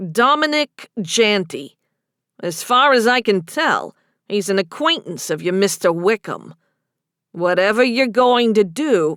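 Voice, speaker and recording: In a put-on character voice, the speaker sounds gruff and moves through very wide pitch swings at a fairly slow pace, on a very clean recording with a silent background. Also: woman, medium pitch for a woman. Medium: read story. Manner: gruff, blunt.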